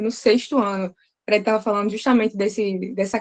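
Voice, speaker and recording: A woman talks with ordinary variation in pitch. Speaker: English teacher, participant. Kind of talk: group discussion contribution. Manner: fast.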